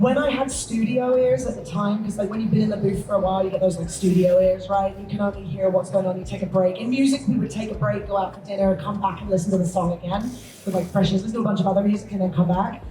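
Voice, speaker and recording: The voice moves at a very fast pace with hardly any pauses and ordinary pitch variation. Audible room echo and noticeable background noise surround it. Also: woman, medium pitch for a woman. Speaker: voice actor. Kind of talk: convention panel discussion.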